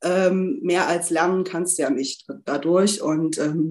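A woman with an ordinary speaking voice at medium pitch and ordinary pitch variation. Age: 30s. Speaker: coaching client, HR department head. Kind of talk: interview testimony.

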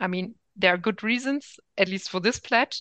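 A woman with a German accent speaks in a bright, sharp tone, recorded dry and close with no echo against a quiet background. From Germany. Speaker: political science professor. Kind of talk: interview. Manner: hesitant, many fillers.

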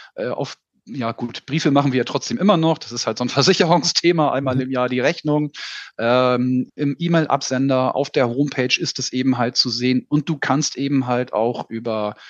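At a moderate pace, a man speaks in a normal speaking voice at medium pitch with ordinary pitch variation. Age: 40s. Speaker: insurance sales manager. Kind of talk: casual interview.

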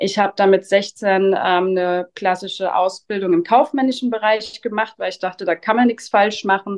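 Hardly pausing at all, a woman speaks at a moderate pace with a medium pitch and fairly even intonation. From Rheinhessen, Germany. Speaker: winemaker. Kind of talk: interview. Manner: hesitant fillers.

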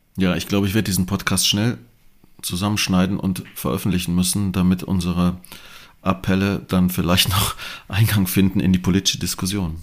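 This man talks at a fairly quick pace. His pitch is very deep and low, and his intonation stays fairly even. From Germany, Bonn (Rhineland). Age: 50s. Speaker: professor and podcast host. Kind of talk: moderated panel discussion. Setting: studio, partly remote panel.

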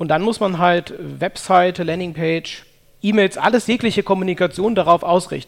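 A man talks at a moderate pace in a high pitch. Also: fairly even intonation. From Germany, Cologne. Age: 30s. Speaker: sales psychology consultant. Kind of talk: interview.

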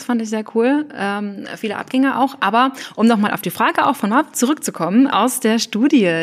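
Lively in intonation and fairly high in pitch, a woman talks with hardly any pauses. Noticeable background noise can be heard. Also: big swings in loudness. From Thuringia, Germany. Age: 20s. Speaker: trainee teacher and novelist. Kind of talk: casual chat.

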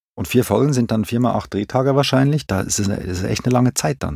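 A plain, everyday voice: a man with fairly low pitch and lively intonation, in a dry, close sound with no echo. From Switzerland, Zurich. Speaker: film and TV director. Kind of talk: casual interview.

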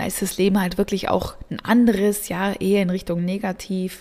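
On a very clean recording with a silent background, a woman speaks at a moderate pace and a medium pitch. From southern Germany. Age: 30s. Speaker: energy work coach. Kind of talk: podcast monologue. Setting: home studio.

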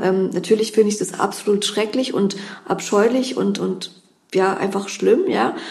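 Amid noticeable background noise, a woman talks at a moderate pace with a fairly high pitch and fairly even intonation. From Berlin, Germany. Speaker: criminal defence lawyer. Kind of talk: interview. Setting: law office.

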